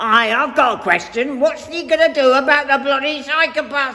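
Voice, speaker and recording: Someone uses a put-on character voice with a high pitch at a moderate pace. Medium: audio drama. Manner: blunt, gruff.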